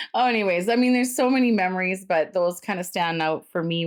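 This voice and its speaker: At a fairly quick pace, a woman with a Canadian accent speaks in a fairly low pitch with lively intonation, captured on a very clean recording with a silent background. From England, raised in Canada from about age four. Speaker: podcast host. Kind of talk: casual interview with her father. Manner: animated.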